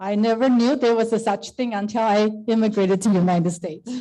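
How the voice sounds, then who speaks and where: A dark, mellow voice with a Chinese accent, fairly quick in pace and with ordinary pitch variation. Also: woman. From Taiwan, moved to US at 13. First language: Mandarin Chinese. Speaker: service club district leader. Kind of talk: speech to club meeting.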